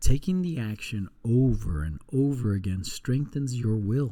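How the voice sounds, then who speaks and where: With a dark, mellow tone, a man speaks in a calm tone at a moderate pace, somewhat breathy and with very wide pitch swings. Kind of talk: book reading aloud. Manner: soft-spoken, calm.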